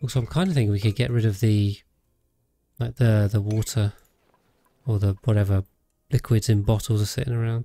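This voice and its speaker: Close and dry with no echo, a man's fairly low, somewhat breathy voice has a dark, mellow, relaxed tone, ordinary pitch variation, and a fairly quick pace broken by long, frequent pauses. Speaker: gaming streamer. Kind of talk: live gameplay commentary. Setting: home streaming setup. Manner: relaxed, rambling with many fillers.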